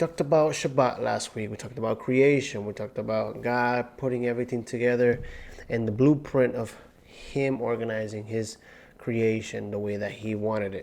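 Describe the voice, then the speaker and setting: At a moderate pace, a man talks with fairly even intonation and a medium pitch. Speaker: Bible teacher. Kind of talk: Torah portion teaching. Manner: carefully enunciating.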